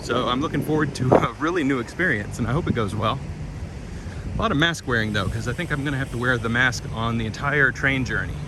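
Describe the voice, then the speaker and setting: Speaking very fast at a medium pitch with ordinary pitch variation, a man is heard over noticeable background noise and audible room echo. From Kentucky. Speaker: travel vlogger. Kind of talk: narrated walking tour. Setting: outdoors. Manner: casual.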